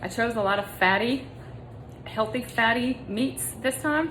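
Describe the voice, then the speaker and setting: A woman with a fairly high voice and lively intonation talks against noticeable background noise. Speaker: meal prep vlogger. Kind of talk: tutorial. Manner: casual, conversational.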